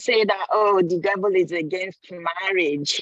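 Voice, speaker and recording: In an ordinary speaking voice of medium pitch, a woman speaks at a fairly slow pace with a dry, close sound and no echo. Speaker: conference participant. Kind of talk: online forum contribution. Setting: stepped aside from a meeting.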